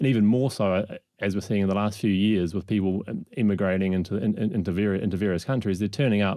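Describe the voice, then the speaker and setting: This man's voice has a dark, mellow tone and fairly low pitch, moving at a very fast pace with ordinary pitch variation against a quiet background. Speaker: startup founder and CEO. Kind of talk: podcast interview. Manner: halting, many false starts and repeats.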